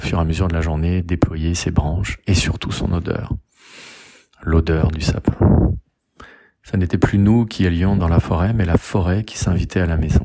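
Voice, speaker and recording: A man with a very deep, low pitch and a dark, mellow tone talks fairly slowly, leaving long, frequent pauses. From France, Lyon area (Rhône). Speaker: lawyer and public speaking coach. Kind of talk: personal storytelling.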